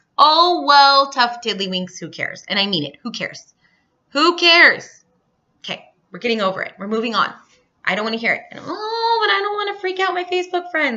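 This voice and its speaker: In a raised, projected voice, the speaker sounds animated and energetic, moving at a fairly quick pace with very wide pitch swings and big swings in loudness. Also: woman, high pitch for a woman. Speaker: health and fitness business coach. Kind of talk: training talk to team on recorded video. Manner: animated, energetic.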